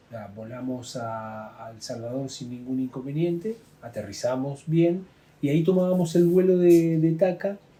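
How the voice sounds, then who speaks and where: A man with a fairly high pitch and a dark, mellow tone speaks at a fairly slow pace, somewhat breathy, with lively intonation. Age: 60s. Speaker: plane crash survivor, former UN worker. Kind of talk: testimony. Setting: drinking wine in Santiago. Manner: halting, many fillers.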